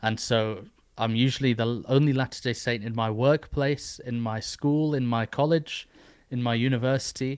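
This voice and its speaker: A man's medium-pitched voice with an English accent and fairly even intonation, on a very clean recording with a silent background. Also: moderate pace. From northeast England. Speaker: podcast host. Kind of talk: interview.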